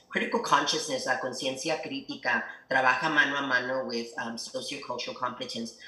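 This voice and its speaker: With audible room echo and noticeable background noise, a man speaks at a fairly quick pace. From El Paso, Texas / Ciudad Juárez border region. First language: Spanish. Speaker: educational leader. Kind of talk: interview.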